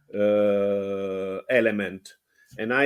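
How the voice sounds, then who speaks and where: A man with a fairly low-pitched voice. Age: 70s. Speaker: nonprofit marketing staff, consultant. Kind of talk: casual conversation. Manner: halting, repeats words.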